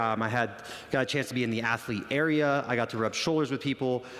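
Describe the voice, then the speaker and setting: The talk moves at a fairly quick pace with ordinary pitch variation. There is noticeable background noise. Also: man. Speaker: fitness coach. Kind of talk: conference talk. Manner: loud; animated.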